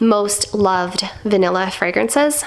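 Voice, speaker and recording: A woman speaks at medium pitch with ordinary pitch variation. Noticeable background noise runs underneath. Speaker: perfume reviewer. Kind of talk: casual talk to camera.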